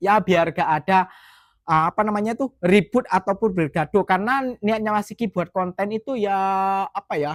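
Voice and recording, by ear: The sound is dry and close, with no echo. A man speaks at a high pitch.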